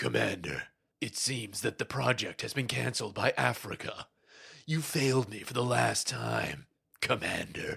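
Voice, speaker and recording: In a raspy, menacing put-on character voice, a man speaks at a moderate pace. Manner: ominous, menacing.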